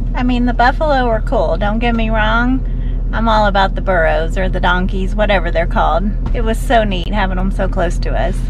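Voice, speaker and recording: The recording is dry with no echo but noticeable background noise. A woman speaks at a fairly quick pace. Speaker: vlog co-host. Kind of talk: casual vlog chat. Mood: cheerful, enthusiastic. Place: car.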